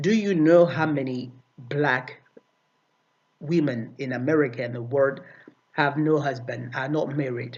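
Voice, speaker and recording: With a non-native accent and audible room echo, a man speaks slowly at a fairly high pitch with ordinary variation and long, frequent pauses. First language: not English. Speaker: video commentator. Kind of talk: video response commentary. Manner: halting, many fillers and repetitions.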